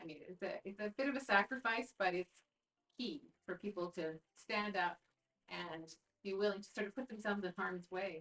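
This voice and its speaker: A woman with a Canadian accent speaks at a medium pitch with ordinary pitch variation. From Canada, northern Alberta (Peace Country). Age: 60s. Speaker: provincial politician. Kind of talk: interview. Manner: halting, many fillers and restarts.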